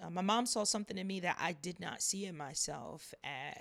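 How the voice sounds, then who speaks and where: A woman talks with noticeable vocal fry. Her pitch varies in an ordinary way. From US, military family, moved around. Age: 30s. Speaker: faith podcast host. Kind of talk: casual monologue. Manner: animated.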